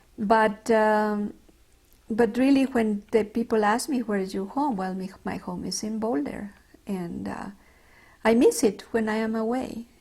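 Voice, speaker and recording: Somewhat breathy speech in a Mexican accent, fairly slow with ordinary pitch variation, on a very clean recording with a silent background. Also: woman. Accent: Mexican Spanish accent, noticeable. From Mexico, Mexico City. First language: Spanish. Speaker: retired doctor. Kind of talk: oral history interview. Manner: halting, with many fillers.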